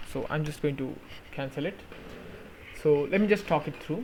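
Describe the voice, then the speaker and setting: This man speaks with a non-native accent. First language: not English. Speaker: tech YouTuber. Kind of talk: tutorial. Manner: halting, with fillers.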